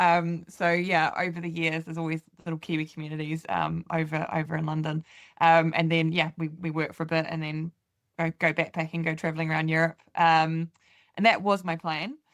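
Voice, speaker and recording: A woman with a New Zealand accent speaks at a fairly quick pace in a fairly low pitch, her intonation monotone and flat. The recording is very clean, with a silent background and a dry, close sound with no echo. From New Zealand, Canterbury. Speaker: farmer. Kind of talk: interview. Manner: hesitant, many fillers.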